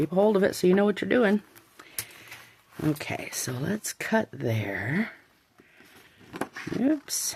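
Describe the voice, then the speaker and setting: Her pitch swings very widely as a woman speaks at a fairly slow pace. Noticeable background noise runs underneath. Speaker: craft youtuber. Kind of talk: tutorial. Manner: casual, thinking aloud.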